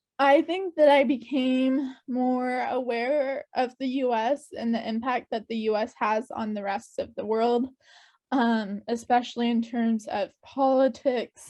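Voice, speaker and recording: A woman with an American accent speaks at a fairly slow pace in a high, dark and mellow voice. Her intonation stays fairly even over a quiet background. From US Pacific Northwest, Spokane, Washington. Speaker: exchange program alumna. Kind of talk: interview.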